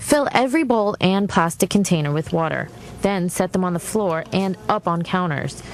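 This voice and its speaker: An unremarkable speaking voice from a woman, medium in pitch and moderate in pace. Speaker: television reporter. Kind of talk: TV news report.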